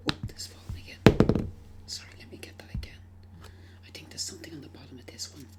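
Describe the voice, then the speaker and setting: Someone whispers at a very fast pace, broken by long, frequent pauses. Music plays in the background. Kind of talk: ASMR shop role-play, customer service talk.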